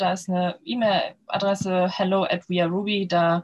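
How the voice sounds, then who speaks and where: Somewhat breathy, a woman talks at a fairly slow pace in a medium pitch. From Lower Saxony, northern Germany. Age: 30s. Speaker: startup founder. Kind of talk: podcast interview. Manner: many filler sounds (ähm, äh).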